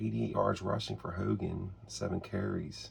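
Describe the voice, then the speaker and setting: A quiet man's very deep, low voice at a fairly slow pace. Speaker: tabletop sports game hobbyist. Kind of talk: solo tabletop game play commentary. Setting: home, early morning while others sleep. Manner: easy-going.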